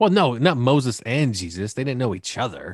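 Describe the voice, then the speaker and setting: An animated, medium-pitched male voice at a moderate pace, with lively intonation. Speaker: podcast host. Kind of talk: casual comedic banter. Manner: joking, animated.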